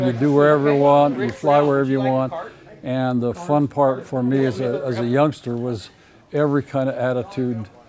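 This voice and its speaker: With noticeable background noise behind him, a man speaks at a moderate pace in a fairly high pitch, his intonation fairly even. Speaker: retired pilot. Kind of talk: interview.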